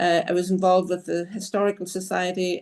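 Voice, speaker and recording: Against a quiet background, a woman with a Northern Irish accent speaks at a medium pitch and a moderate pace. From Northern Ireland. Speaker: city councillor and candidate. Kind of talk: political forum statement. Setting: video call.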